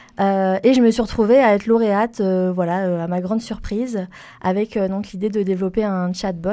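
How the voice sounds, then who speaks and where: This woman talks at a moderate pace with a medium pitch, a dark, mellow tone and flat, monotone intonation. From France, Toulouse. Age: 30s. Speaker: environmental consultant. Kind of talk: interview. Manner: hesitant, many fillers and repetitions.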